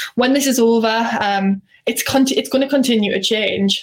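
Talking at a fairly quick pace with fairly even intonation, a woman is heard over noticeable background noise. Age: 20s. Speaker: social media company co-founder. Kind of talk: presentation. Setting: live stream.

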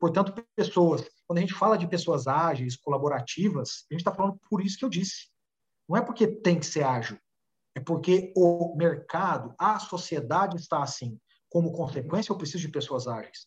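This man speaks at a high pitch with lively intonation. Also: moderate pace. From Brazil, Minas Gerais (Uberaba). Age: 30s. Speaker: business executive and author. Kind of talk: casual interview.

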